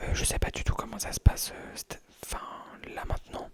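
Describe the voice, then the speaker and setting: Over noticeable background noise, a man whispers at a fairly slow pace. His tone is relaxed. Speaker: ASMR creator. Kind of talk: casual talk to camera. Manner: relaxed, rambling, whispered.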